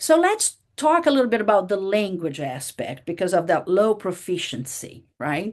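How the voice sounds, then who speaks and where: A woman with a Portuguese accent, medium pitch and very wide pitch swings, speaking at a moderate pace with hardly any pauses. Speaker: university professor. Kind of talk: lecture.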